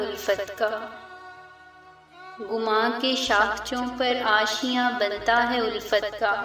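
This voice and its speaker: A woman talks in a flat monotone with fairly high pitch. Music plays in the background. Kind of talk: poetry reading.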